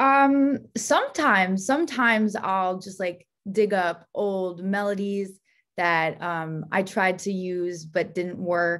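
A woman with an American accent, medium pitch and ordinary pitch variation, at a very slow pace over a quiet background. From New Jersey, Bergen County; New Jersey. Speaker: singer-songwriter; guest. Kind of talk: casual interview. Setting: video call. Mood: friendly, enthusiastic. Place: home room. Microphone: video call.

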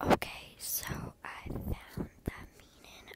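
Noticeable noise sits in the background. The speaker whispers. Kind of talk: ASMR video. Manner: whispered.

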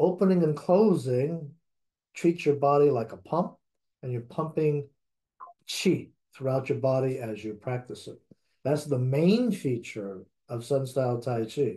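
A somewhat breathy man at a fairly slow pace, with long, frequent pauses, over a quiet background. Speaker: tai chi instructor. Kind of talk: lecture. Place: home room. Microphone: webcam.

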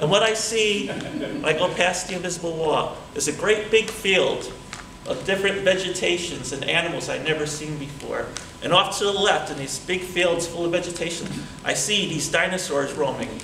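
There is audible room echo and light background noise around this man. His voice is high, with ordinary pitch variation, at a moderate pace. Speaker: public speaking club member. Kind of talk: storytelling speech at a tall tales contest. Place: hall. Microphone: camera far.

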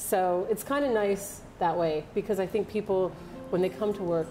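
Clear music plays in the background while a woman speaks. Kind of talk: interview answer. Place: bar.

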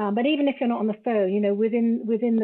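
A woman speaks with an English accent and ordinary pitch variation. The background is quiet. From England. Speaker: travel business founder; podcast guest. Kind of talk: casual chat. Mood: reflective, earnest. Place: home room.

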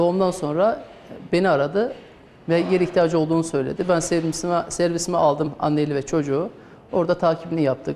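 A man with an Azerbaijani accent speaks at a fairly quick pace and a high pitch. His loudness stays very even, his intonation fairly even, over light background noise. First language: Azerbaijani (speaking Turkish). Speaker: doctor. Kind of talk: interview testimony. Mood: calm, serious recounting. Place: hall. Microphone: lapel.

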